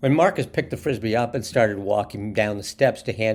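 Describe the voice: The text is read out. It is plain reading aloud.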